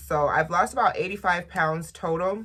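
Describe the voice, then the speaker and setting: This woman's voice carries vocal fry. Her pitch moves in an ordinary way. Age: 20s. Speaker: lifestyle and beauty vlogger. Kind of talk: casual vlog talk to camera.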